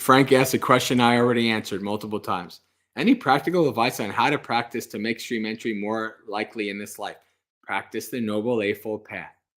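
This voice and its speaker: A man speaks in a normal speaking voice at a medium pitch and a fairly quick pace, with fairly even intonation. His loudness swings widely in a very clean recording with a silent background. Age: 40s. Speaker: Buddhist monk. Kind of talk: livestream Q&A. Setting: livestream with live audience. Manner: casual, conversational.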